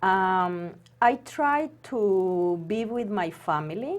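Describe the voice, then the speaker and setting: A woman talks with a non-native accent. Her pitch varies in an ordinary way. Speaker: former accountant and homemaker. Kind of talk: interview. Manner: halting.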